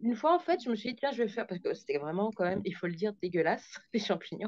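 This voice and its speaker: Speaking at a very fast pace, a woman keeps her voice at medium pitch. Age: 40s. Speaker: group session participant. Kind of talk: testimony. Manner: halting.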